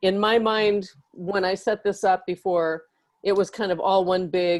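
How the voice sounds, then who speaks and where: A woman's medium-pitched voice, a plain, everyday voice, with fairly even intonation. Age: 60s. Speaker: audience member asking a question. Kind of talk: question in online panel. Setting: video call.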